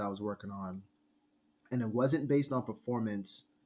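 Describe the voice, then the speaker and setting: An unremarkable speaking voice with an American accent, at a fairly quick pace. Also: man. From the Bronx, New York. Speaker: guest. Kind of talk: casual conversational podcast chat. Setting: New York City.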